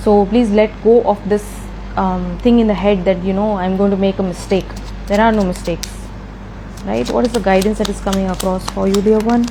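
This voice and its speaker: There is noticeable background noise as a woman with a medium pitch talks at a fairly quick pace. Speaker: tarot reader. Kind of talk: tarot reading. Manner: animated.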